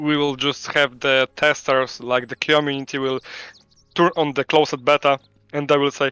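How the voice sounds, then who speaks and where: A fairly high-pitched man with a Polish accent, flat monotone delivery at a moderate pace, and a dry, close sound without echo. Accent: Polish accent, non-native English. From Poland. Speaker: game studio CEO. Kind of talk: interview. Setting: live stream call from home. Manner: halting, many fillers.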